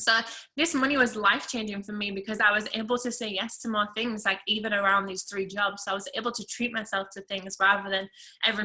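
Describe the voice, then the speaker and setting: Speaking at a fairly quick pace in an English accent, a woman uses a medium pitch and fairly even intonation. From England. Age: 20s. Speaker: network marketing seller. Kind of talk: testimony.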